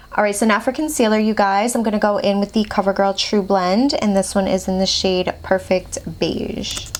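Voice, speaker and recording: Over noticeable background noise, a woman talks at a moderate pace with ordinary pitch variation and hardly any pauses. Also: medium pitch for a woman, very even loudness. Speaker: beauty vlogger. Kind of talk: makeup tutorial. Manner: animated; slurring.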